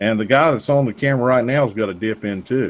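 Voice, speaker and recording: In a Southern US accent, a man talks at a moderate pace. His pitch is medium, with ordinary pitch variation. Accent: Southern US accent, noticeable. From North Carolina. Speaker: gun store owner. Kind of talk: casual chat. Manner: halting.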